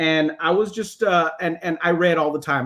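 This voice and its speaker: A man with an American accent. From South Texas, Robstown near Corpus Christi. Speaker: author and musician. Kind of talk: panel discussion. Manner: fast.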